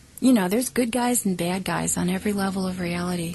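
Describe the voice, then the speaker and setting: A woman with a medium-pitched voice speaks, her pitch varying in an ordinary way. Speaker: ET contact experiencer. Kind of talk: casual talk to camera.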